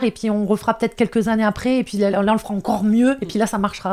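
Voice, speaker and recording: A woman speaks in a northern French accent. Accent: northern French (ch'ti). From northern France. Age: 30s. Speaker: foster carer and entrepreneur. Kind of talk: interview.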